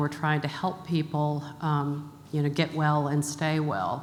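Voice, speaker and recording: Her very deep, low voice stays monotone and flat as the woman speaks at a fairly slow pace amid audible room echo. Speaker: health charity executive. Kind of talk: conference talk. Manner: many filler words.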